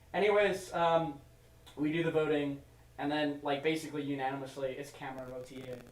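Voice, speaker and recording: With a fairly high pitch, a man speaks at a moderate pace and fairly even intonation. There is noticeable background noise and audible room echo. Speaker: podcast host. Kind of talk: casual chat. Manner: loud.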